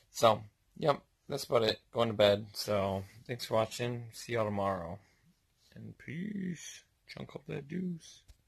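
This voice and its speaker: A man's somewhat breathy speech at a fairly slow pace, with long, frequent pauses and big swings in loudness against a quiet background. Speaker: vlogger. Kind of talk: casual vlog chat. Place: home room. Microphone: phone near.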